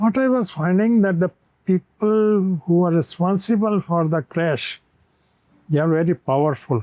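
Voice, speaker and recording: A man speaks in a high voice with a dark, mellow tone. His loudness stays very even. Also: ordinary pitch variation, moderate pace, dry, close sound with no echo. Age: 80s+. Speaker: retired air traffic controller. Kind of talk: interview. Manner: halting.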